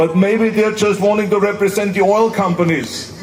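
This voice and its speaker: In an Austrian accent, a man talks at a moderate pace with a high pitch and fairly even intonation. Noticeable background noise runs underneath. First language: German. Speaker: former politician and actor. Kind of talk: public speech at a climate rally. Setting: outdoors.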